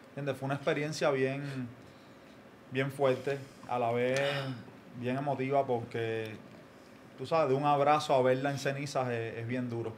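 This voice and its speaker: A man speaks at a moderate pace in a flat monotone, with long, frequent pauses over light background noise. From Cuba. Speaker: comedy content creator. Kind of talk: casual chat. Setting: studio. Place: studio. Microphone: studio mic.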